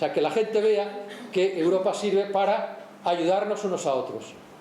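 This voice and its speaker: The speech moves at a fairly slow pace with fairly even intonation, over noticeable background noise and audible room echo. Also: man. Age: 60s. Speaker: speaker at a professional event. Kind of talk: lecture. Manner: halting.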